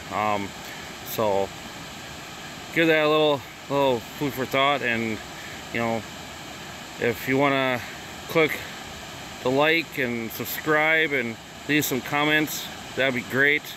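Very slow speech from a man with a Wisconsin accent, with long, frequent pauses, medium pitch, ordinary pitch variation and noticeable background noise. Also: dry sound with no echo. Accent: Upper Midwest (Wisconsin). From Wisconsin, Chippewa Falls area. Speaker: vlogger; first-time vlogger. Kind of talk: casual vlog tour. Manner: halting, many fillers. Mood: relaxed, a bit unsure. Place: waterside. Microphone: phone near.

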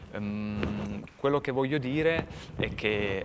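A man talks with ordinary pitch variation against loud background noise. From Turin, Italy; Italy. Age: middle-aged. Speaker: street artist; guest. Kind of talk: interview. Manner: halting. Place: studio. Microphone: lapel.

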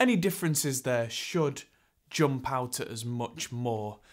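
A man's voice with ordinary pitch variation against a quiet background. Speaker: presenter. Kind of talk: tutorial. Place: studio.

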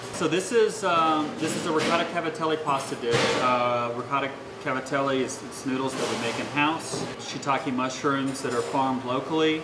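Against loud background noise, a man talks at a moderate pace with ordinary pitch variation. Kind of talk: interview answer.

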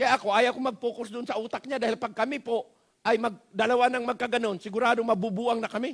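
Against a quiet background, a man with a Filipino accent talks very fast in an animated tone at an extremely high pitch. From Philippines. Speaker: pastor. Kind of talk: sermon. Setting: church. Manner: animated, exhortative, pleading with the congregation; Taglish, folksy and humorous, with repeated rhetorical questions and frequent 'Amen?'. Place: church.

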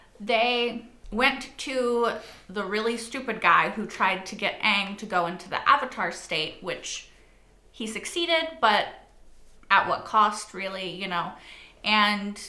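A woman at a fairly slow pace, with big swings in loudness and audible room echo. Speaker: reaction video host. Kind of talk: casual vlog chat. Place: home room. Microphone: lapel.

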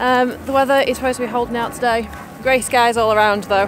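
Against noticeable background noise, a woman speaks with fairly even intonation in a dry sound with no echo. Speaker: family vlogger. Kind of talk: casual vlog chat. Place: open country. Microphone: phone near.

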